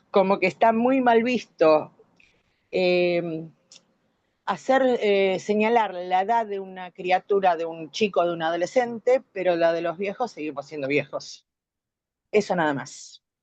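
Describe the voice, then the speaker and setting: A woman speaks at a fairly slow pace with long, frequent pauses. Her medium pitch shows ordinary variation. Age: 60s. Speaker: course participant. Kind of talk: online class discussion.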